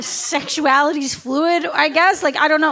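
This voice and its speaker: Over noticeable background noise, the voice is raised and projected. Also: woman. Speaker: stand-up comedian. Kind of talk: live stand-up comedy set. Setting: live comedy club audience. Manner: matter-of-fact delivery.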